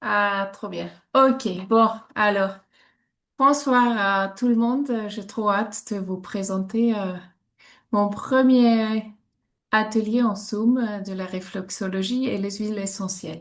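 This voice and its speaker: This woman speaks at a very slow pace, with long, frequent pauses. Her pitch is fairly high and her intonation fairly even. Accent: Swiss German. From German-speaking Switzerland. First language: Swiss German (speaking French). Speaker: reflexologist. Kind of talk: online workshop presentation. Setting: video call. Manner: hesitant, many fillers.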